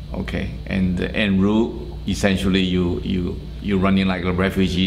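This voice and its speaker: Against noticeable background noise and audible room echo, a man with a very deep, low voice and a Chinese accent speaks with ordinary pitch variation. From China, Shanghai. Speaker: oral history interviewee. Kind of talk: oral history interview. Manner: hesitant, many fillers.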